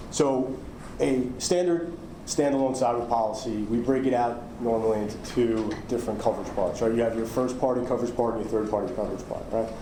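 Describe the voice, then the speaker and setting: A man talks at a fairly quick pace with a New York accent and fairly even intonation. Noticeable background noise and audible room echo fill the recording. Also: medium pitch for a man. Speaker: cyber insurance underwriter. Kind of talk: conference talk. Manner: halting, many fillers.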